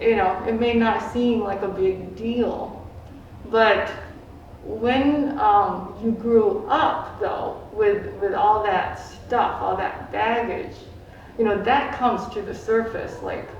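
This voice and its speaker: Very slow speech unfolds with noticeable background noise present. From Philippines, immigrated to US at five. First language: Filipino dialects. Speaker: community forum participant, Tai Chi teacher. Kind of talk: personal testimony at community forum. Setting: community forum. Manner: halting, many repeated words and fillers.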